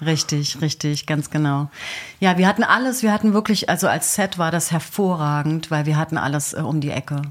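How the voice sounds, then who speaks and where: Delivery is fairly quick. The pitch shifts in an ordinary way. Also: woman, very deep, low pitch for a woman. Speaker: actress, dog trainer and hypnotherapist. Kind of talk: radio interview. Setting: radio studio. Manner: storytelling, like a radio play.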